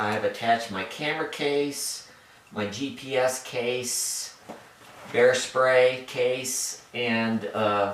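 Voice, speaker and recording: A man's medium-pitched voice with fairly even intonation, audible room echo and noticeable background noise. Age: 60s. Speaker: hiker. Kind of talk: gear tutorial. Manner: halting, many fillers.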